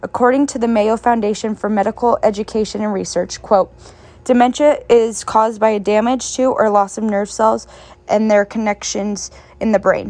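Using a normal speaking voice, a woman speaks at a fairly high pitch and a moderate pace with fairly even intonation. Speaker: student podcast host. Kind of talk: interview.

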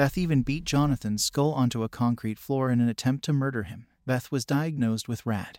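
A man talks at a fairly quick pace with hardly any pauses, using a normal speaking voice at medium pitch and ordinary pitch variation. The sound is dry and close with no echo, on a very clean recording with a silent background. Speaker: horror story narrator. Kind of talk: scripted horror narration. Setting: podcast or video channel. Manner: measured and grave.

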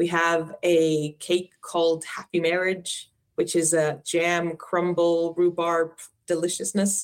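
A woman speaks very slowly in an Icelandic accent, her fairly low voice monotone and flat with very even loudness. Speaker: Icelandic tourism representative. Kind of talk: interview.

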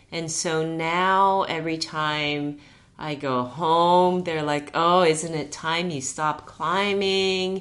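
A woman speaks with a Japanese accent in a fairly low pitch. Her pace is very slow. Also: fairly even intonation. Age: 50s. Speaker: climbing guide and yoga teacher. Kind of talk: casual interview chat.

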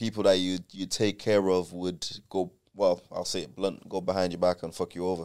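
Moderate pace and a monotone, flat intonation. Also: man, very deep, low pitch for a man. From Ireland, Dublin. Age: 20s. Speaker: R&B singer. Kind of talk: casual chat.

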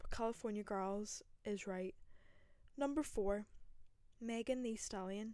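A woman speaks at a fairly high pitch in a dark, mellow tone. Her pace is fairly slow. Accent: Northern Irish. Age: 20s. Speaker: podcaster. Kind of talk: casual solo chat. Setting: bedroom with microphone.

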